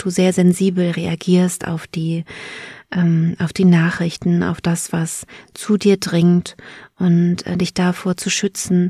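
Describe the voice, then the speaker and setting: A woman speaks very slowly in a soothing, calm, dark, mellow tone, somewhat breathy and fairly low-pitched with monotone, flat intonation, recorded dry and close with no echo, very clean against a silent background. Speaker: podcast host and birth preparation coach. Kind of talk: guided meditation. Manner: slow, soothing, calm, gentle; soft-spoken, with long pauses.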